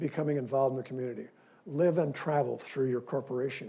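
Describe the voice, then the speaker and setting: A man speaks at a medium pitch with a Midwestern US accent. His tone is dark and mellow. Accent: US Midwest. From Missouri, Independence. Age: 70s. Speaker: dentist giving a guest lecture. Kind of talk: lecture. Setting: lecture hall with audience. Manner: animated.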